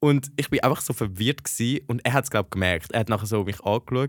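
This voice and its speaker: Recorded very cleanly over a silent background, a man speaks with ordinary pitch variation in a dry, close sound with no echo. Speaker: podcast co-host, university student. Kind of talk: casual chat. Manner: animated.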